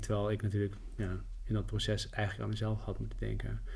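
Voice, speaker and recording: A man's voice with audible room echo. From Netherlands. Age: 30s. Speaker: journalist and writer. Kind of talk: podcast interview.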